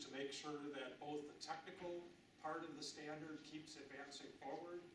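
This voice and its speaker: A man with an American accent and a fairly high pitch is heard with audible room echo and noticeable background noise. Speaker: industry association representative. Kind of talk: presentation.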